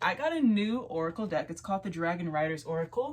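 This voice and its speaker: At a fairly quick pace, a woman with a medium-pitched, somewhat breathy voice speaks with very wide pitch swings. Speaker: tarot reader. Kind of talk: casual chat.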